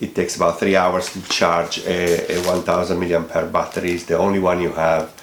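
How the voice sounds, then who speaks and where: A man speaks with a non-native accent. Room echo is audible. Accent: foreign accent, self-noted. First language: not English. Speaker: product reviewer, hobby aeromodeller. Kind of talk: product review. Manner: hesitant, many fillers.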